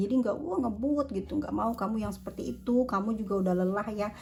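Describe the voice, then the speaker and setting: This woman's voice sits at a medium pitch and is somewhat breathy. Her intonation stays fairly even. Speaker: tarot reader. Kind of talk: tarot reading. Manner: casual.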